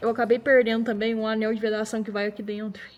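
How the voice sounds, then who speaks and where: Music plays in the background as a woman speaks at a very fast pace. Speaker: car restoration youtuber. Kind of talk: casual workshop vlog.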